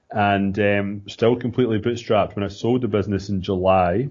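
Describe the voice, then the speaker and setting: A man speaks with a Scottish accent at a moderate pace. His pitch is fairly low and his intonation monotone and flat. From Scotland, small town. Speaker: entrepreneur. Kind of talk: podcast interview. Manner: casual, with filler words and repeats.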